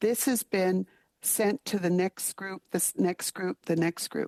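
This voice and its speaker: Heard dry and close with no echo against a quiet background, a woman with a Canadian accent speaks fairly slowly at a medium pitch with ordinary pitch variation. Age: 60s. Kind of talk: committee testimony. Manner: firm, emphatic.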